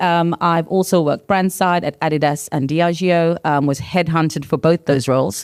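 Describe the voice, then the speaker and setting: On a very clean recording with a silent background, a woman with a very deep, low pitch speaks at a moderate pace with ordinary pitch variation in a dry, close sound with no echo. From South Africa. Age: 50s. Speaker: agency founder and marketing executive. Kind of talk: panel discussion. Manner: frequent filler ums.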